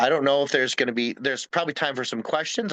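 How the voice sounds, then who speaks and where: With a bright, sharp tone and lively intonation, a man speaks at a fairly high pitch in a dry, close sound with no echo. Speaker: wildlife conservation educator. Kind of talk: presentation. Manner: fast; halting.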